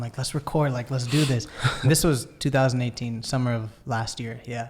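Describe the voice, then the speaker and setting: At a fairly quick pace, a man with a normal speaking voice talks at medium pitch with fairly even intonation. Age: 20s. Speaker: musician. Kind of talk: casual chat.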